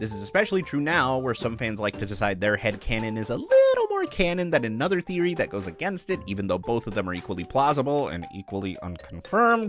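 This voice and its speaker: Over background music, a man at medium pitch talks at a very fast pace with hardly any pauses and very wide pitch swings. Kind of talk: fan theory commentary. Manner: casual, self-deprecating.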